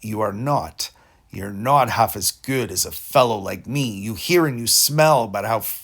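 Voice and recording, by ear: Natural-voiced reading aloud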